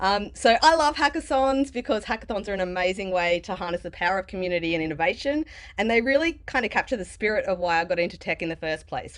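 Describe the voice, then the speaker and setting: Against a quiet background, a woman talks at a fairly quick pace with a medium pitch and lively intonation. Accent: Australian. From Australia. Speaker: developer advocate giving conference talk. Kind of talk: conference talk. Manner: casual, many fillers.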